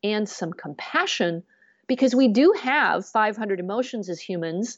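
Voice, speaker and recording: Here a woman talks in a US Midwestern accent at a fairly slow pace. Her fairly high pitch carries lively intonation. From US Midwest, Grand Rapids, Michigan. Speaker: business coach and radio host. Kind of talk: interview conversation. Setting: remote or studio podcast recording, not video.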